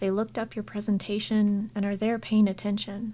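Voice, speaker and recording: A woman speaks at a moderate pace with medium pitch. Her tone is dark and mellow, and somewhat breathy. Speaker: scientist vlogger. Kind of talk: casual vlog monologue.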